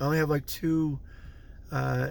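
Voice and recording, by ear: A man with a fairly high pitch and slightly mellow tone talks at a fairly slow pace, with vocal fry and little pitch movement.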